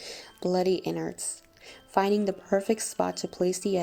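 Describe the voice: The clip consists of plain reading aloud.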